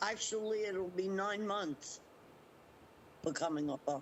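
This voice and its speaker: This is a woman speaking at a medium pitch. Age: 60s. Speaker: interviewee, scam victim. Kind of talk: interview testimony. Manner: halting.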